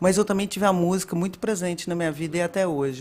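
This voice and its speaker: A woman's fairly low voice at a very fast pace with fairly even intonation. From Minas Gerais, Brazil. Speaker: data and analytics director. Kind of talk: casual interview chat.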